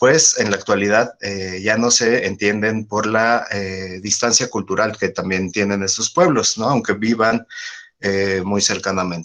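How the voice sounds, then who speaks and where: A man with a Mexico City accent talks at a fairly slow pace and a fairly low pitch. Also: ordinary pitch variation. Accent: own Mexico City. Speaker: biologist. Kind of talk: lecture. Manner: hesitant, many fillers.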